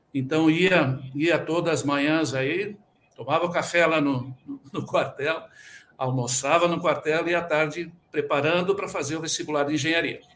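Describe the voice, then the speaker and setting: This is an ordinary speaking voice with fairly even intonation at a moderate pace. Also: man, fairly high pitch for a man. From Rio Grande do Sul, Brazil. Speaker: quality management consultant and auditor. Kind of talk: interview.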